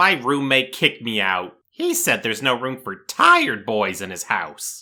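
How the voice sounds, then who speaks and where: Pitched at medium for a man, a cartoonish character voice moves at a moderate pace with lively intonation. The recording is very clean, with a silent background. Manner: naive, blurting.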